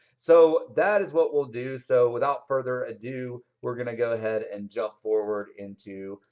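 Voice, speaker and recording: Here is a man with a plain, everyday voice. His pitch is medium, with ordinary pitch variation. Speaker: psychology instructor. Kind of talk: lecture. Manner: casual, with many fillers.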